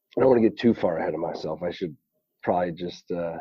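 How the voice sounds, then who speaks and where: Here is a man speaking. He has an American accent. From Pennsylvania, Reading. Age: 20s. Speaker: professional baseball player. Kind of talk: podcast interview. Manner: hesitant, many fillers.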